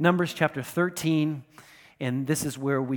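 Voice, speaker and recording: This is a man with an ordinary speaking voice and an American accent, fairly high in pitch, talking at a moderate pace with ordinary pitch variation. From United States. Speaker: pastor. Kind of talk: sermon. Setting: church.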